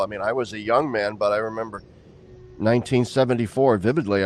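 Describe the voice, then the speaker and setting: A man at a medium pitch and a fairly quick pace, with ordinary pitch variation and an ordinary speaking voice. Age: 60s. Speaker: interview host, theologian. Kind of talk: casual discussion.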